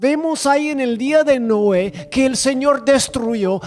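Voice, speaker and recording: Noticeable background noise sits behind a man speaking at a very slow pace. His pitch is extremely high, with ordinary pitch variation. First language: not Spanish (speaking Spanish). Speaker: preacher. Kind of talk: sermon. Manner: halting.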